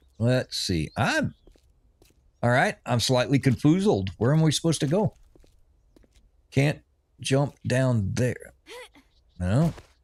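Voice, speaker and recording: With an American accent, a man at a medium pitch uses a relaxed tone, vocal fry, and very wide pitch swings. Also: long, frequent pauses. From US, Oregon and Missouri. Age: 60s. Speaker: gaming streamer, retired Navy veteran. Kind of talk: casual livestream chat while gaming. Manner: relaxed, rambling with self-repeats.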